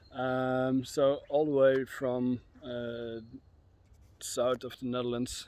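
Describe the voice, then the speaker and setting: Very slow speech from a man at a medium pitch. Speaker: history tour guide. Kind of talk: casual talk to camera. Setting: outdoors. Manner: soft-spoken, quiet; hesitant, many filler sounds.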